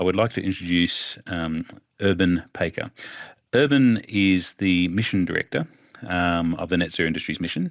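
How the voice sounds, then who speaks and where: Speaking at a very deep, low pitch, this man has an Australian accent. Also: ordinary pitch variation, moderate pace. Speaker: webinar moderator. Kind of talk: webinar moderation.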